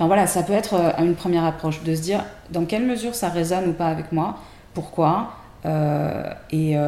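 Her pitch is fairly low. The speaker is a woman. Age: 40s. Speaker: tarot deck creator. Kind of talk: casual chat. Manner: hesitant, many fillers.

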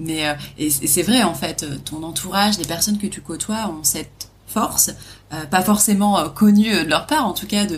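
A fairly low-pitched woman at a fairly slow pace, ordinary pitch variation, and noticeable background noise. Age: 30s. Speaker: podcast host, travel trainer. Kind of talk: casual interview.

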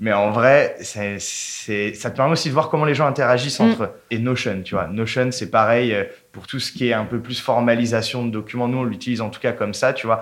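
Fairly even intonation marks a man's medium-pitched voice, heard over noticeable background noise. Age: 20s. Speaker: brand content manager. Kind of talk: casual interview chat. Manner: casual, hesitant with repetitions.

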